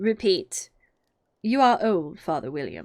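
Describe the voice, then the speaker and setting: Putting on a character voice, a woman speaks at a fairly slow pace in a medium pitch with very wide pitch swings. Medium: read story. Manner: curt, terse.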